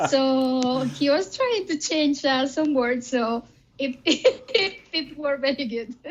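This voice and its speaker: At a very slow pace, a woman with a Spanish accent talks in a high pitch with ordinary pitch variation. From Spain. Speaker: band singer. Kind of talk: interview. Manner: hesitant, many fillers.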